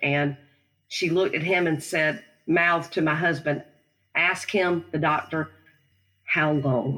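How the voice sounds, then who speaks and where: Her very deep, low pitch comes with a Southern US accent, fairly even intonation, very even loudness and long, frequent pauses as this woman speaks. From South Carolina. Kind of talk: interview testimony.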